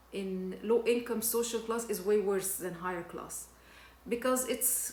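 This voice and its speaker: Fairly high for a woman, her voice keeps fairly even intonation over noticeable background noise and audible room echo. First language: not English (English is third language). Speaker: personal development vlogger. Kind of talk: personal testimony. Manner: halting, frequent repetitions and fillers.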